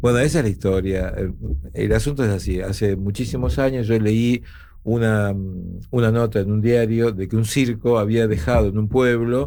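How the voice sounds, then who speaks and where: Amid audible room echo, a man with a medium pitch and a dark, mellow tone talks at a moderate pace with ordinary pitch variation. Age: 60s. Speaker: actor. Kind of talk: casual chat. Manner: animated.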